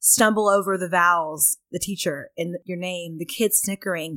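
With an American accent, a normal speaking voice moves at a moderate pace with ordinary pitch variation, the sound dry and close with no echo. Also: woman. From Texas, Pflugerville near Austin. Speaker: company chief of staff. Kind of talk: casual interview.

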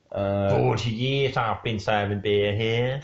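A put-on character voice from a man, gruff and fairly low in pitch, in a West Country accent, with ordinary pitch variation and a very slow pace.

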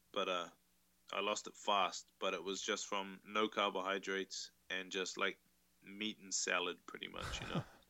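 A man with a New Zealand accent speaks at a moderate pace in a fairly low pitch. His intonation is monotone and flat. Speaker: tattoo artist. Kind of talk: casual interview chat.

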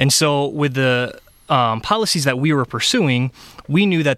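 This voice has a Michigan accent and ordinary pitch variation. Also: man. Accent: Michigan (Midwest US). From Michigan (Ionia). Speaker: health charity policy advocate. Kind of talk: radio interview. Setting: radio studio. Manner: hesitant, many fillers.

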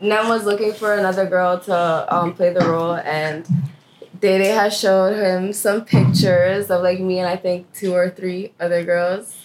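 A woman speaks at a moderate pace with a medium pitch and a monotone, flat intonation. Noticeable background noise runs under her voice. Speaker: actor in web series. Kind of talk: casual chat.

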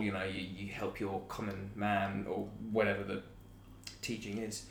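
In a southern English accent, a somewhat breathy voice sounds with audible room echo. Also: man. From southern England, Chichester area. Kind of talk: casual chat.

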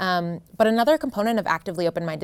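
Talking at a fairly quick pace, a woman with an American accent has an unremarkable speaking voice and ordinary pitch variation. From US Northeast, New Jersey. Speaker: professor. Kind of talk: interview. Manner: frequent um fillers.

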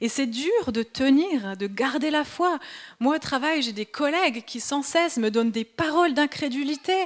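With a slight Swiss French accent, a woman speaks fairly slowly in a high pitch, her intonation lively. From Switzerland. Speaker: preacher. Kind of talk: sermon.

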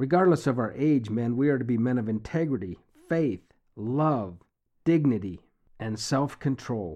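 A man speaks at a fairly slow pace with a dark, mellow tone. His pitch is medium and his intonation lively. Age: 60s. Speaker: bible teacher. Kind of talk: devotional reading and commentary.

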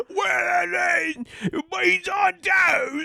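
In a put-on character voice, the speaker shouts at a high pitch with a British accent. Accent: bad, meme-like British.

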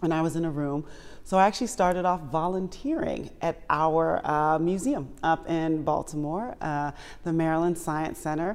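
In a normal speaking voice, a woman talks at a moderate pace with ordinary pitch variation and a fairly low pitch. The recording is very clean, with a silent background. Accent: American. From Washington, D.C. area, US. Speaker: museum president and CEO. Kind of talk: interview.

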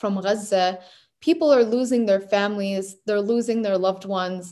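A woman with an American accent, a normal speaking voice, a fairly high pitch, and a moderate pace. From New Hampshire, US. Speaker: graduate research fellow. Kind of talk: interview.

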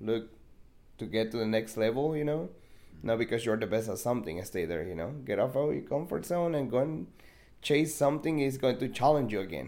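A man with a Spanish accent, dark and mellow in tone at medium pitch, with vocal fry, very wide pitch swings, a fairly quick pace, and audible room echo. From Mexico. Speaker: podcast guest. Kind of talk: casual chat.

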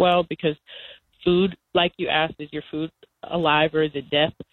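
In a normal speaking voice, a woman with an American accent talks at a moderate pace. Her pitch is fairly low, with ordinary pitch variation. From US South, North Carolina. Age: 20s. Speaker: cooperative organizer and farmer. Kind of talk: interview. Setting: phone call.

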